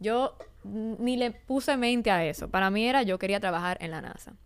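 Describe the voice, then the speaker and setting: A woman with an ordinary speaking voice talks at medium pitch with ordinary pitch variation, in a very clean recording with a silent background. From Dominican Republic, Santo Domingo. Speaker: aerospace design entrepreneur. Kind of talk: interview. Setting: studio.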